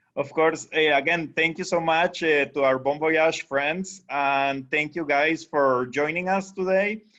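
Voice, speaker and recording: Over a quiet background, a man with a Costa Rican accent speaks fairly slowly and with hardly any pauses, his fairly high voice bright and sharp, his intonation fairly even. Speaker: tour company sales director. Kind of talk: webinar presentation. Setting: video call.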